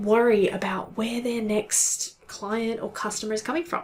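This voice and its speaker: A woman talks at a fairly slow pace with a fairly high pitch. Noticeable background noise runs behind her. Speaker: content marketing consultant. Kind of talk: tutorial. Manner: casual.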